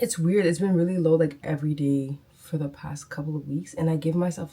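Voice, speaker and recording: A woman's somewhat breathy, dark and mellow voice, very deep and low in pitch, at a fairly quick pace with ordinary pitch variation. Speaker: dental hygienist vlogger. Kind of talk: casual vlog talk. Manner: casual, chatty.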